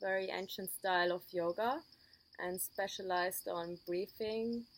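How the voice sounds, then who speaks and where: Here is a woman with a normal speaking voice and a medium pitch. Her intonation is fairly even and her pace fairly slow. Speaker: yoga student and channel host. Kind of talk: casual talk to camera.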